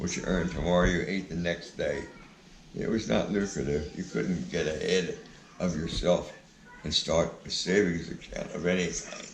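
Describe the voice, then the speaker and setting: A man talks at a moderate pace. The recording carries audible room echo and noticeable background noise. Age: 80s+. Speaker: grandfather telling his life story. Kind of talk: casual interview. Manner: halting, with filler uhs.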